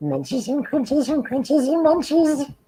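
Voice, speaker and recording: Here is a put-on character voice with a high pitch. The pace is moderate. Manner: cartoonish, sing-song.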